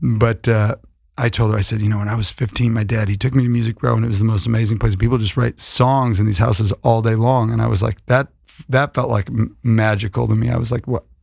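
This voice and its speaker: An American-accented man with a somewhat breathy voice and medium pitch speaks at a very fast pace. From Buffalo, New York, US. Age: 30s. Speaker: singer-songwriter. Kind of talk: podcast interview. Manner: animated storytelling.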